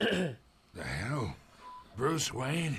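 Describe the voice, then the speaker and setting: Raspy and fairly high-pitched, a man performs a put-on character voice with lively intonation. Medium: video game. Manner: mocking, chuckling.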